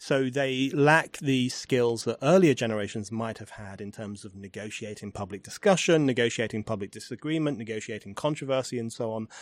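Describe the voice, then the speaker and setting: With an English accent, a man speaks at a fairly quick pace and medium pitch, with ordinary pitch variation, big swings in loudness and hardly any pauses, in a very clean recording with a silent background. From England. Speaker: podcast host and writer. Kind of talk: interview conversation. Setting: in person at a university.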